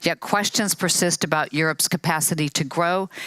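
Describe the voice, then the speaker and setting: Over noticeable background noise, a woman with an American accent and a fairly low pitch talks at a moderate pace with fairly even intonation. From USA. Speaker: panel moderator. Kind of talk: moderated panel introduction. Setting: conference stage with audience. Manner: formal.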